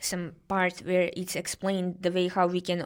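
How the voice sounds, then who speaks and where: A woman speaks at a moderate pace with a Serbian accent, her pitch fairly low and her intonation flat and monotone. The recording is very clean, with a silent background. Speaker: guest researcher discussing protests. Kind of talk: podcast interview. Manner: halting, many fillers.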